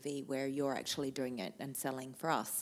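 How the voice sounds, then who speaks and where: On a very clean recording with a silent background, the speaker has an Australian accent. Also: woman. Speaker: TV cooking show host. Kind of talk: interview conversation.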